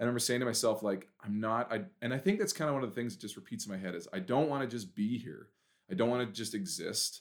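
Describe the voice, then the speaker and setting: With a Western Canadian accent, a man of medium pitch talks at a very fast pace with lively intonation. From Canada, Prince George, British Columbia. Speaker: event planner and camp director. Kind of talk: casual interview chat.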